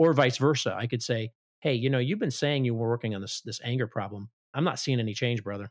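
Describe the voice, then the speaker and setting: Very fast speech comes from a man with an American accent at medium pitch and ordinary pitch variation. The sound is dry and close with no echo. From Chicago, US Midwest. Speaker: ministry director and Marine veteran. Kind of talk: interview conversation.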